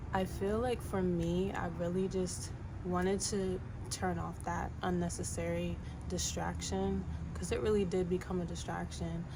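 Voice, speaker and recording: A soft-spoken woman at a fairly slow pace, her loudness very even, with audible room echo. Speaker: vlogger. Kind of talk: personal vlog monologue. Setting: home, windows open. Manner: low-energy. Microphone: no microphone.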